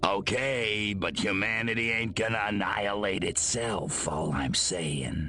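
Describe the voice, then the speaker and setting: Over clear background noise, a man in a put-on character voice speaks fairly slowly at a fairly low pitch with hardly any pauses. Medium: video game. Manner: gruff, wisecracking.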